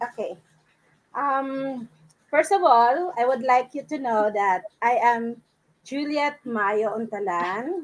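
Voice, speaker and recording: With a Filipino accent, a woman with a high pitch talks at a very slow pace, using lively intonation and long, frequent pauses. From Philippines, Palawan. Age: 60s. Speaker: accounting course student. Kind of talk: live interview.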